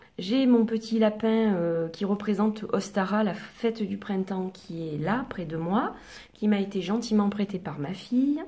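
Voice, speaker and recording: A soft-spoken woman at a medium pitch, with ordinary pitch variation, a fairly slow pace and noticeable background noise. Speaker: oracle card reader. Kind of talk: relaxation guidance talk to camera.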